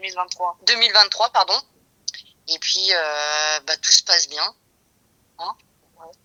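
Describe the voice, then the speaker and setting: With a bright, sharp tone at a medium pitch, a woman speaks very slowly with long, frequent pauses and big swings in loudness, the sound dry and close with no echo. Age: 40s. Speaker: interviewee in a testimony podcast. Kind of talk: casual interview testimony. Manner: hesitant, many fillers.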